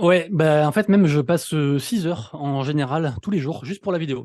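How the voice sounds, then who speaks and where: With ordinary pitch variation, the man talks in a fairly high register. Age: 30s. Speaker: NFT news content creator. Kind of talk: casual interview. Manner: fast; poor articulation.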